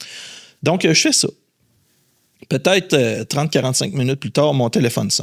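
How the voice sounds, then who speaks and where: Recorded dry and close with no echo, a voice with a Quebec accent, vocal fry, lively intonation and an animated tone goes at a moderate pace, broken by long, frequent pauses. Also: man, fairly high pitch for a man. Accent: Québécois French. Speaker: headhunter. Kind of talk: podcast interview. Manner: animated storytelling.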